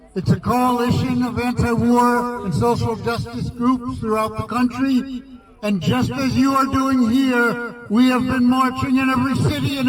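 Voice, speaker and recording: A man with an American accent and an extremely high voice, fairly even intonation, a moderate pace and hardly any pauses, over noticeable background noise. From US, New York. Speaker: anti-war activist. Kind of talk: protest rally speech.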